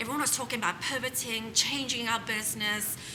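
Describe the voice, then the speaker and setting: Noticeable background noise runs under speech delivered at a fairly quick pace. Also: woman. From South Africa. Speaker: home staging business owner. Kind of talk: interview answer.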